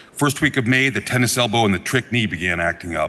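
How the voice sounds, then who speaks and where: A man talks at a very fast pace with medium pitch and lively intonation. Noticeable background noise sits behind him. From Vermont (Norwich). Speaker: state legislator. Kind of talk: floor speech. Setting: legislative chamber.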